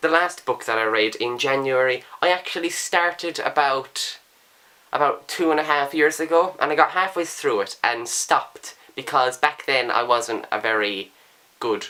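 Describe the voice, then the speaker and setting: Using an Irish accent, a man speaks at a moderate pace and medium pitch. His tone is bright and sharp, his intonation lively. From Ireland. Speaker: book vlogger. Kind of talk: casual talk to camera.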